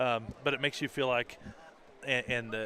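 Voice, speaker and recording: A man speaks loudly at a medium pitch in a bright, sharp tone. His intonation stays fairly even. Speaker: color commentator, former wrestling coach. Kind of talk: live sports commentary.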